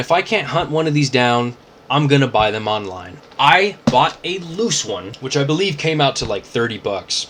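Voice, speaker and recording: At a moderate pace, the speaker sounds animated, with very wide pitch swings, over noticeable background noise. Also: man. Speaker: toy collector YouTuber. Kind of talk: casual unboxing vlog. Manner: casual, filler-heavy.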